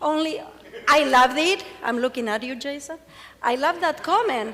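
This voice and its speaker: A woman's raised, projected voice at high pitch and moderate pace, with noticeable background noise. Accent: Argentine. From Argentina. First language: Spanish. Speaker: cancer patient speaker. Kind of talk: conference presentation. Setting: stage with audience.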